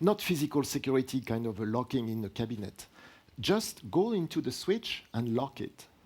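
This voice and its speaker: A man's medium-pitched voice with a French accent and very wide swings in pitch. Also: moderate pace. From France. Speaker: product line director presenting at a tech seminar. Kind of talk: technical lecture with Q&A.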